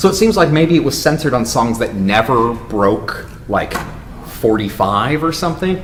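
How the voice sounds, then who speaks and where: A fairly high-pitched man with very wide pitch swings, amid noticeable background noise and audible room echo. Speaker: university instructor. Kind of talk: workshop lecture. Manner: fast.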